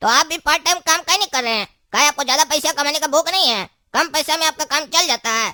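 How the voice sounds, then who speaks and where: In a cartoonish character voice, a woman talks very fast at a high pitch with ordinary pitch variation and a dry, close sound with no echo. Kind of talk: comic overacting. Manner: talkative, nosy, wheedling.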